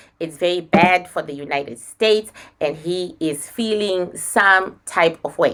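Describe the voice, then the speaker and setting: A woman with a non-native accent speaks fairly slowly at a fairly low pitch with ordinary pitch variation. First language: not English. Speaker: spiritual medium. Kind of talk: psychic reading.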